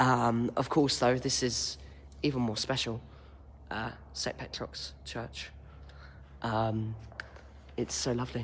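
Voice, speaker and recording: Quiet and somewhat breathy, a man at a medium pitch talks at a very slow pace with long, frequent pauses and lively intonation amid audible room echo. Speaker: intern giving a guided tour. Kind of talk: casual guided walking tour vlog. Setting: inside an echoey church. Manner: quiet, hushed; hesitant, many ums. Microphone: echo in the room.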